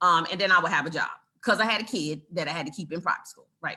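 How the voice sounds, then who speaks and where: A woman's bright, sharp, animated tone with ordinary pitch variation. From Brooklyn, New York. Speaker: real estate investor and educator. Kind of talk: live online class. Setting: livestream video call. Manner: animated, casual.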